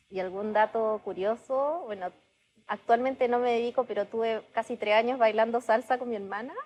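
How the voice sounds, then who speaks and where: A woman's fairly high voice in a Chilean accent, with ordinary pitch variation. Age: 30s. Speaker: startup founder. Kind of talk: podcast interview.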